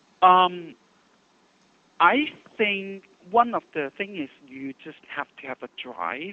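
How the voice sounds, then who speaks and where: With a non-native accent, a man speaks at a high pitch with lively intonation and long, frequent pauses. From Hong Kong. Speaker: hair stylist. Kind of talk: interview. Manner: hesitant, many fillers.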